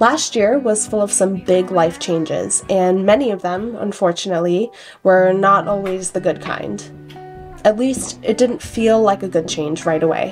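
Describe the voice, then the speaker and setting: With music in the background, a woman at medium pitch speaks in a calm tone at a moderate pace, with ordinary pitch variation. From Korean background. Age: 20s. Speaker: vlogger. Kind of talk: reflective video diary voiceover. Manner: calm, reflective.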